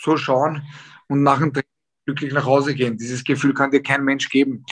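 Fairly high male voice in a monotone, flat intonation. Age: 30s. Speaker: professional boxer. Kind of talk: interview. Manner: hesitant, many filler sounds.

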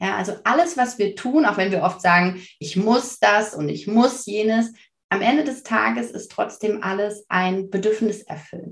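Vocal fry runs through this woman's speech. She keeps to a moderate pace. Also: medium pitch for a woman, lively intonation. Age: 30s. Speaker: parenting coach. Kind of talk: casual interview.

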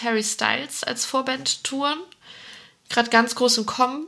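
Noticeable background noise sits behind a woman with a high pitch. She speaks at a fairly slow pace with fairly even intonation. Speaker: festival podcast co-host. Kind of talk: casual chat.

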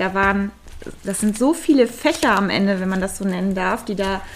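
A woman talks at a medium pitch and a moderate pace with ordinary pitch variation. Noticeable background noise is present. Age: 30s. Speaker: riding instructor. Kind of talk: interview.

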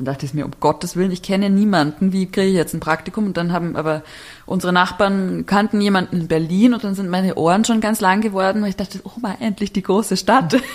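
Very fast pace with ordinary pitch variation. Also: woman, medium pitch for a woman. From Bavaria, small village. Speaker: architect and writer. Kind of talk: casual interview.

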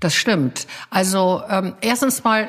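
This woman has a medium pitch and a normal speaking voice. Her pitch varies in an ordinary way. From Bavaria, Munich. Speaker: PR agency founder. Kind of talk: casual interview. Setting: at home.

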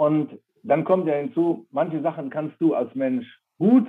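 This is a man speaking at a fairly high pitch. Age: 60s. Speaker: company founder handing over to daughter. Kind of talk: interview. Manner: halting, many fillers.

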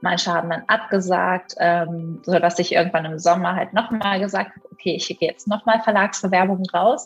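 A woman with a medium pitch and fairly even intonation speaks at a fairly quick pace. Noticeable background noise is present. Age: 20s. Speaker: primatologist and author. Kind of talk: interview.

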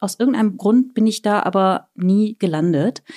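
In an ordinary speaking voice, a woman talks at a moderate pace with a fairly high pitch and lively intonation, the sound dry and close with no echo. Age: 40s. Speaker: author and traveller. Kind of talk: casual chat.

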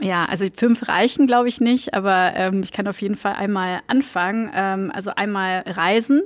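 With hardly any pauses, a woman with an unremarkable speaking voice talks at a medium pitch with ordinary pitch variation, on a very clean recording with a silent background. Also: moderate pace. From Belgium, village near Antwerp. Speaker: marketing executive. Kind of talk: casual interview. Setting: office.

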